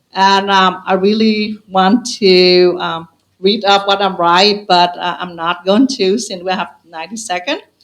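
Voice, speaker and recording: With a non-native accent, a woman speaks fairly slowly in a fairly even intonation. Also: medium pitch for a woman. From Vietnam. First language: Vietnamese. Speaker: school committee candidate. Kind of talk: closing statement at candidate forum. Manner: halting.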